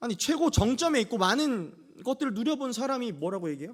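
A man speaks at a very fast pace in an animated tone, his high voice making very wide pitch swings. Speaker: pastor. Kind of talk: sermon. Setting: church.

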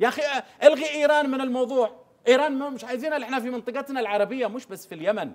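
Against a quiet background, a man talks at a very fast pace in an animated tone with extremely high pitch. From Yemen. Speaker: government media adviser; guest. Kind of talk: TV studio interview. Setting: TV studio. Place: studio.

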